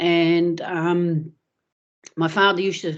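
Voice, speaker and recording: A woman's fairly low voice with a New Zealand accent and monotone, flat intonation. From Netherlands, then New Zealand from childhood. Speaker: retired footballer. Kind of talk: interview. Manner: hesitant, many fillers.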